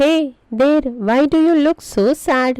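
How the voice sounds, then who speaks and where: A woman speaks in a put-on character voice. Her pitch is high, and her pace is moderate. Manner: friendly, curious.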